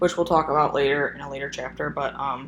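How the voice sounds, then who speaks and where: A woman's voice with audible room echo. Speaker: phlebotomy instructor. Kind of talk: recorded lecture. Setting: solo recorded video. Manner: fast; hesitant, many fillers.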